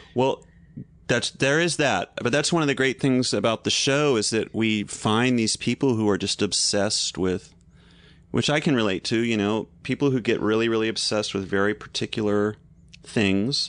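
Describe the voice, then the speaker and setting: A man speaks in a normal speaking voice at medium pitch, with ordinary pitch variation and very even loudness. His pace is moderate against a quiet background. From US South. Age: 40s. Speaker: TV host and comedian. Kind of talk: casual chat.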